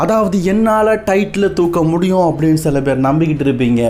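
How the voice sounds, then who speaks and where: A man's lively, expressive intonation against noticeable background noise. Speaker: wrestling news narrator and Tamil voice-over translator. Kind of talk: wrestling news narration with Tamil voice-over of a promo.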